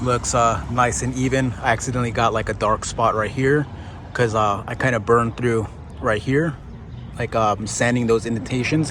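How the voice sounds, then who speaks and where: Against noticeable background noise, a man with a medium pitch and fairly even intonation talks at a fairly quick pace. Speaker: DIY car painter. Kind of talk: tutorial. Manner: casual, halting with fillers.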